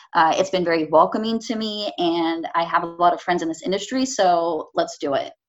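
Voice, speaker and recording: Barely pausing, a woman with a Californian accent speaks at a fairly quick pace and a fairly low pitch. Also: ordinary pitch variation. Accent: Californian American. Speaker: painter. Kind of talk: casual interview. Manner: hesitant, many fillers.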